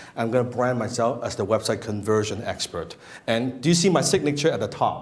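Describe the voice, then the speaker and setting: Audible room echo surrounds a man with a non-native accent. His medium pitch shows ordinary variation. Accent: speaks English with an. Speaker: marketing and copywriting coach. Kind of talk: seminar talk to live audience. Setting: room with live audience. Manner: animated, casual with frequent restarts.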